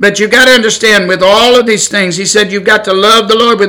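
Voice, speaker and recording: A man's raised, projected voice with an American accent, high pitch, fairly even intonation and a fairly quick pace, amid noticeable background noise and audible room echo. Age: 60s. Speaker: preacher. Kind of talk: sermon. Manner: halting.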